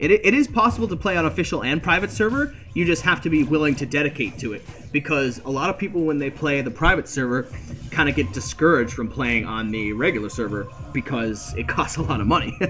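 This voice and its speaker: With music in the background, a man talks very fast in a fairly high pitch with very wide pitch swings. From Canada. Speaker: game streamer. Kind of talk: live stream commentary. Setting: live stream. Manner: slurred words blending together.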